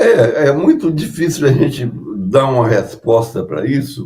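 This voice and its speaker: A man with vocal fry and lively intonation speaks at a very slow pace. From Brazil, Juiz de Fora (Minas Gerais). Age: 90s. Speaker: composer and pianist. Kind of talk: interview. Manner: halting.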